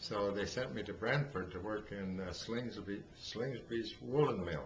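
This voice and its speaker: In an Ontario accent, a man speaks at a fairly slow pace and fairly low pitch, with audible room echo. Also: ordinary pitch variation. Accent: Canadian (Ontario). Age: 80s+. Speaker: elderly father telling life story. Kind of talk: oral history interview. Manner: halting, many fillers.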